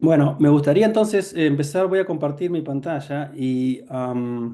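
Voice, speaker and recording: This man has a dark, mellow tone and a fairly high pitch with ordinary pitch variation. He talks at a fairly slow pace over a quiet background. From Argentina. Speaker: neurology professor. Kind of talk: lecture. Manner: halting, many fillers.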